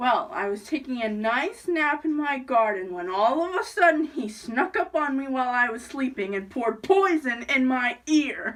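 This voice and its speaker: A female-sounding put-on character voice comes through at a moderate pace. The pitch is high for a woman. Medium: solo performance.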